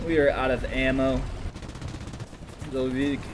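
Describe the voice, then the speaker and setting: A man at medium pitch is mumbling. Noticeable background noise can be heard. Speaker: gaming commentator. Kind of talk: gameplay commentary. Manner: stuttering.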